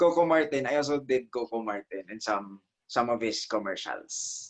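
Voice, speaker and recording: This man speaks with an Ilonggo accent. His pitch varies in an ordinary way. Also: medium pitch for a man, moderate pace. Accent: Filipino (Ilonggo) English. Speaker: stage actor and voiceover artist. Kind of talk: interview.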